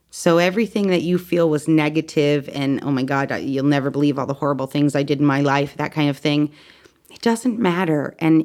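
On a very clean recording with a silent background, a woman with an American accent speaks at a very deep, low pitch. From Connecticut. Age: 30s. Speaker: near-death experiencer. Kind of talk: testimony.

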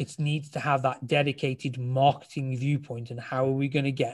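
A somewhat breathy man at a medium pitch with fairly even intonation, on a very clean recording with a silent background. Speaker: judo club marketing specialist. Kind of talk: casual interview. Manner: fast.

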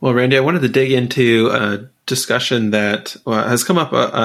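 The man has a normal speaking voice. He keeps a moderate pace and fairly even intonation. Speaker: podcast co-host. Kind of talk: interview.

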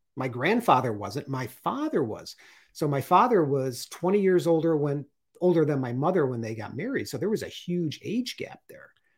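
Here a man talks at a moderate pace in a fairly high pitch. It is an ordinary speaking voice. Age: 50s. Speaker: artist and retired Coast Guard veteran. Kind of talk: interview.

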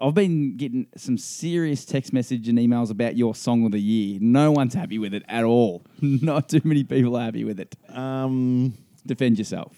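Here a man speaks with an Australian accent at a moderate pace. His pitch is medium, with ordinary variation. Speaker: podcast host, amateur golfer. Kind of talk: casual chat.

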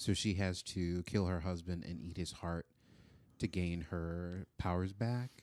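A man's very deep, low voice with an American accent, fairly slow and fairly even in intonation, in a dry, close recording with no echo. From Florida. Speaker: film student and improviser. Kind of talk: casual interview. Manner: slow and deliberate; dry, deadpan.

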